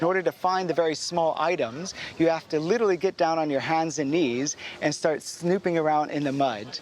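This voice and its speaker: The speaker has an American accent. Background noise is noticeable throughout. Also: man. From United States. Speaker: mudlarker, artefact collector. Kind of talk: interview. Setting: outdoors by the river.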